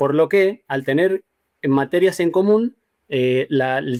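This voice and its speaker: Pitched fairly high, a man speaks with an Argentine accent and ordinary pitch variation. The sound is dry and close, without echo. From Argentina, Mendoza. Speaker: graphic designer. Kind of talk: interview. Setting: video call. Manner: halting.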